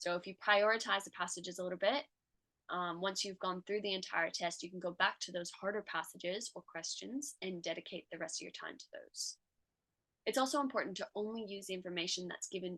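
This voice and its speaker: Dry and close with no echo, a woman with an American accent talks at a fairly quick pace in a medium pitch, her tone bright and sharp, her pitch variation ordinary and her loudness swinging widely. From United States. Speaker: tutor and medical student. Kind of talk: tutorial.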